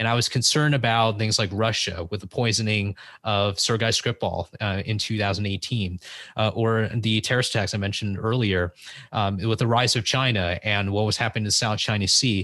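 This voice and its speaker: With an American accent and a bright, sharp tone, a man speaks fairly low and fairly quickly, with very even loudness and fairly even intonation against a quiet background. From US West Coast, San Francisco Bay Area. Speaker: podcast host and former congressional intern. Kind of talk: interview.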